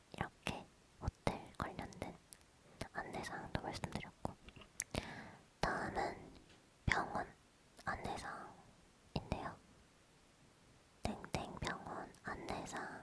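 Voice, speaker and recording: A whisper, heard amid noticeable background noise, moves at a very slow pace with long, frequent pauses. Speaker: ASMR content creator. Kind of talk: reading out a list of eerie rules. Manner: whispering, soft.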